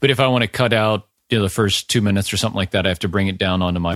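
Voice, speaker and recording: The sound is dry and close, with no echo at all. Pitch moves in an ordinary way over a very clean recording with a silent background. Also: man. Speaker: podcast host. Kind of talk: casual interview. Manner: halting, filler-heavy.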